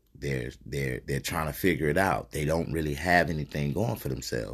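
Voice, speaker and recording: A man talks at a fairly quick pace, his voice showing vocal fry. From US South. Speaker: podcast host. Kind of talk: casual chat.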